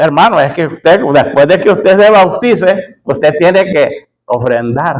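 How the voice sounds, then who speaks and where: Lively in intonation and high-pitched, a man speaks at a fairly slow pace with hardly any pauses. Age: 60s. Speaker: preacher. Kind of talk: sermon.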